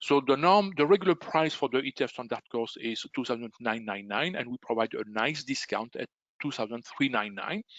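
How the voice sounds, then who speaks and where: The delivery comes at a moderate pace in a strong Belgian French accent. The intonation is lively. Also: man. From Belgium. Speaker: trading educator. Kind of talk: webinar sales presentation. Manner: halting, many fillers.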